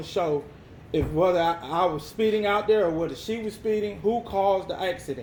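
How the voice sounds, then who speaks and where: A loud man talks at a fairly quick pace in a high voice. His pitch varies in an ordinary way. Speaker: person disputing an insurance claim. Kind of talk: heated phone argument. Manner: insistent.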